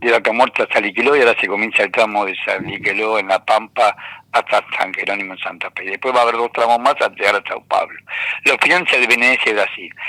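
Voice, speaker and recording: A man with an Argentine accent at a very fast pace, in a dry, close sound with no echo and noticeable background noise. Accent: Argentine Spanish (Rioplatense). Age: 70s. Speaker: economist and university lecturer. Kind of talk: radio interview. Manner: animated.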